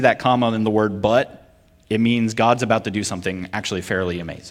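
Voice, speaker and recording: With an American accent, a man has an ordinary speaking voice at medium pitch. He talks at a fairly quick pace with ordinary pitch variation. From Vermont, US. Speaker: preacher and military chaplain. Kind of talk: sermon.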